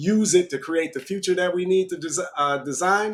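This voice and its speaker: With ordinary pitch variation, a man delivers his words fairly quickly. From Michigan, near Detroit. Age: 40s. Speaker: business owner. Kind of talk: interview.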